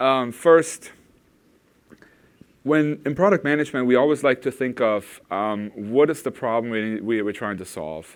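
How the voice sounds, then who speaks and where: With a German accent, a man speaks at a fairly slow pace, using lively intonation and long, frequent pauses. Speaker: product manager presenting at a tech conference. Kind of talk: conference talk. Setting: stage with audience. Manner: hesitant, many fillers.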